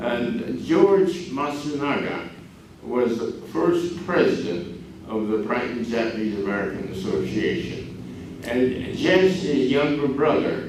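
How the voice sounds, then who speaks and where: A man's medium-pitched voice at a very slow pace, with very wide pitch swings, noticeable background noise and audible room echo. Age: 90s. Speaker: community elder speaker. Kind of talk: public talk. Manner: halting.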